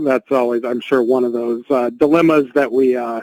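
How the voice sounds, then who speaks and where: Recorded dry and close with no echo, a man talks at a moderate pace in a medium pitch with fairly even intonation and an unremarkable speaking voice. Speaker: webinar host. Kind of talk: webinar hosting.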